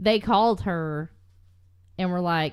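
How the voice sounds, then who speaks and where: A woman speaking in a Southern US accent. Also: very clean recording, silent background. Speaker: true crime podcast co-host. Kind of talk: casual chat.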